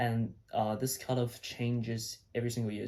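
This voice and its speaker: With a dark, mellow tone, a man talks at medium pitch in a somewhat breathy voice. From China. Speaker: medical student, video blogger. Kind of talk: casual vlog talk. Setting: his old bedroom at home. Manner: casual, with fillers and repeats.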